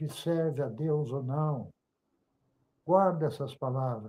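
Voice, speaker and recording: A man's somewhat breathy, dark and mellow voice, fairly high-pitched, with lively intonation at a very slow pace. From Brazil, Volta Redonda, Rio de Janeiro state. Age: 70s. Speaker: church member giving testimony. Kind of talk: religious testimony and exhortation.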